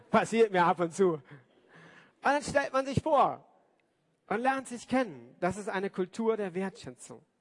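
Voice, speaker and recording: Lively intonation marks this man's high voice. He speaks at a fairly slow pace with long, frequent pauses. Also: dry, close sound with no echo. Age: 40s. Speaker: pastor. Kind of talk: sermon. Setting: church service with congregation.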